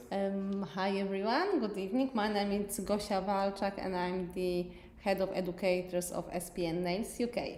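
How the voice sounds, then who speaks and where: Over noticeable background noise and audible room echo, a woman with a Polish accent speaks at a moderate pace and a medium pitch. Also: fairly even intonation. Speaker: nail technician educator. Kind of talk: live tutorial stream. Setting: live stream on Facebook and YouTube.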